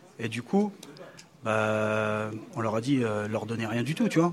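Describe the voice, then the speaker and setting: The speaker is a man with a medium-pitched voice. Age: 40s. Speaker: youth association leader. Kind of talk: interview. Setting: outdoor live event with audience. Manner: halting.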